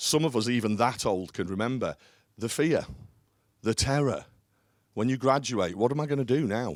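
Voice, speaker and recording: In a very clean recording with a silent background, a man talks fairly quickly with lively intonation. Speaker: business leader. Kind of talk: conference talk. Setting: stage with audience. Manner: loud; hesitant with fillers.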